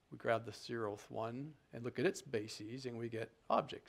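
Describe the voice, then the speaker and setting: A man speaks in a normal speaking voice at a moderate pace and medium pitch. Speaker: programming tutorial instructor. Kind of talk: tutorial.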